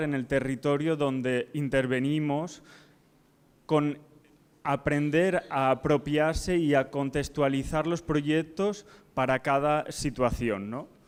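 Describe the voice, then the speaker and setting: Fairly high male voice at a very slow pace, with fairly even intonation, on a very clean recording with a silent background. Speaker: architect. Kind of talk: conference presentation.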